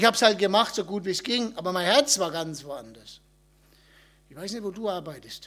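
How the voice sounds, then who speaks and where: A man with a Franconian accent speaks in an animated tone. His pace is fairly quick, with ordinary pitch variation. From Upper Franconia, Germany. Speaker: missionary. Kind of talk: talk at a church event.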